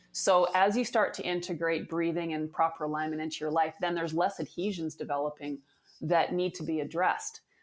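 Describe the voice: Her pitch low, a woman talks at a fairly quick pace with fairly even intonation.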